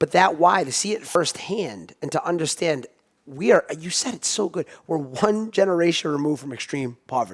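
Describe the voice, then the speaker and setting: In a normal speaking voice, a man talks at a moderate pace and a fairly high pitch, with lively intonation and big swings in loudness. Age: 30s. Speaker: podcast host. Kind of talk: podcast interview. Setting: studio.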